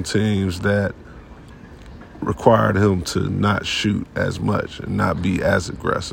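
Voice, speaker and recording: A man at a fairly low pitch with ordinary pitch variation, talking at a very slow pace amid noticeable background noise. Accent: American. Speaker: sports podcast host. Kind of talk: casual monologue. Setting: sports arena.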